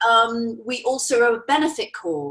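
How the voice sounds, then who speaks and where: This is a woman with an English accent. Her pitch is high. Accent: English, stronger lately. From England. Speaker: natural beauty products representative. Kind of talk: interview.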